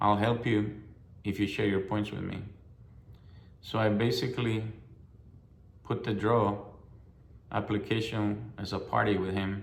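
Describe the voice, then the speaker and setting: A man with a fairly low pitch speaks at a fairly slow pace in a monotone, flat way. Audible room echo surrounds his voice. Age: 60s. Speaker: hunter. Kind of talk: personal testimony. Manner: halting, with fillers and repetitions.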